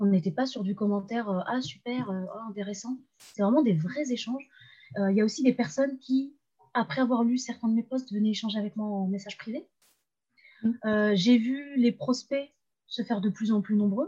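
At a moderate pace with long, frequent pauses, a woman talks in a somewhat breathy, dark, mellow voice of fairly high pitch and ordinary pitch variation. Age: 20s. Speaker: freelance web writer and LinkedIn coach. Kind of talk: casual interview.

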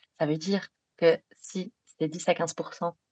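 This woman has a fairly low-pitched voice. She speaks with a slight Belgian accent. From Belgium. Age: 30s. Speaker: sleep psychologist. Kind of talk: podcast interview.

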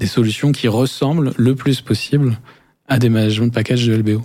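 A man of medium pitch with a dark, mellow tone at a moderate pace, on a very clean recording with a silent background. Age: 40s. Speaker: business lawyer. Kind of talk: interview. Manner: halting, many repetitions.

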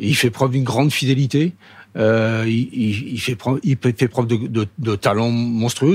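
Pitch varies in an ordinary way. The pace is fairly slow. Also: man. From Paris. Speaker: former footballer. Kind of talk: interview. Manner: halting.

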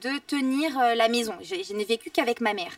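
Her voice sits high in pitch. This woman keeps a fairly quick pace. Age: 20s. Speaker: dancer and TV personality. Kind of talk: casual interview. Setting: restaurant cellar, recorded for livestream.

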